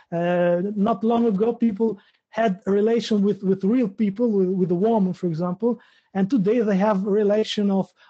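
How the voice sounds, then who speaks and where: The background is quiet as a man speaks in a high pitch with a dark, mellow tone. His pitch variation is ordinary. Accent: Albanian. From Albania. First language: Albanian. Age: 30s. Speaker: interviewer. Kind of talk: interview. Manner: halting, repeating words.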